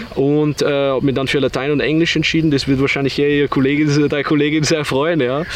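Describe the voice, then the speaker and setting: A man with a fairly high pitch rattles along at a very fast pace in a monotone, flat delivery, hardly pausing and keeping a very even loudness, with noticeable background noise. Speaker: online entrepreneur. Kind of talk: interview.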